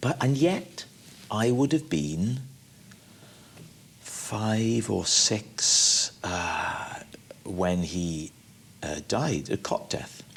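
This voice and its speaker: Speaking very slowly in a Welsh accent, this voice swings very widely in pitch and leaves long, frequent pauses. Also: man, medium pitch for a man. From Wales. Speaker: actor and comedian. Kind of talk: interview answer.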